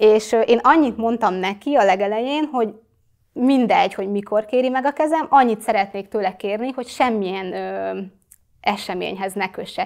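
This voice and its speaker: A woman speaks at a moderate pace with a fairly high pitch. Her pitch varies in an ordinary way over a quiet background. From Hungary, Kecskemét; Hungary. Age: 20s. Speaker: social media influencer; interview guest, influencer. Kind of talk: interview. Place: studio. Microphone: lapel.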